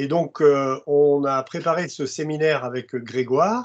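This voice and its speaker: A man at a very slow pace, with a quiet background. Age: 60s. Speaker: construction industry expert and presenter. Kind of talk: webinar presentation. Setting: video conference. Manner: halting, many hesitations.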